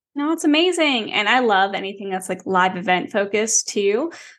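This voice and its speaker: A woman speaks at a fairly quick pace with vocal fry. Her pitch is medium, with ordinary variation. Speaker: podcast host. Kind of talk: casual interview chat. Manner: fast talker.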